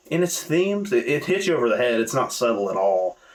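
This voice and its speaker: A man with a Southern US accent speaks with very wide pitch swings. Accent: understated Southern US. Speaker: movie reviewer. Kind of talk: casual video review. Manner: casual, conversational.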